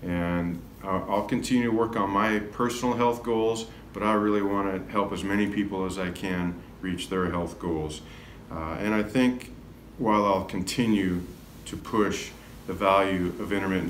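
A man with a very deep, low pitch and ordinary pitch variation talks at a moderate pace, with audible room echo and light background noise. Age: 50s. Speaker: health and wellness coach; wellness coach. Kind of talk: self-recorded video talk. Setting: classroom. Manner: casual with frequent fillers. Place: classroom. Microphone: phone near.

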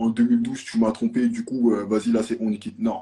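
A somewhat breathy, dark, mellow tone at a moderate pace, with very wide pitch swings. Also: man. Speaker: debate participant. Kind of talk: heated debate. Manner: animated. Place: home room. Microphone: phone near.

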